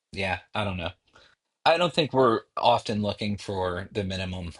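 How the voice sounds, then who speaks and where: With an American accent, a man talks at a moderate pace in a very deep, low pitch, his voice somewhat breathy and his pitch variation ordinary, over a quiet background. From United States. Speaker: programming tutorial creator. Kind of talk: tutorial. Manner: casual, halting with fillers.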